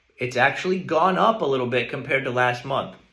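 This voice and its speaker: There is audible room echo around a man's voice. His pitch is medium and his intonation is lively. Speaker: real estate agent. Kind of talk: market update video.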